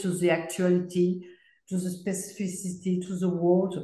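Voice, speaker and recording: In a room with audible echo, someone with a French accent speaks at a fairly slow pace. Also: woman. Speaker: video artist. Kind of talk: group discussion. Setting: video call. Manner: halting. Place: home room. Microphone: video call.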